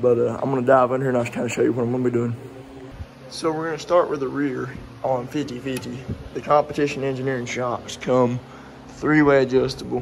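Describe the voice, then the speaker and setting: A man's very fast, monotone, flat delivery amid audible room echo. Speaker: car enthusiast doing truck work. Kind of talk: casual garage tutorial vlog. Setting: garage workshop.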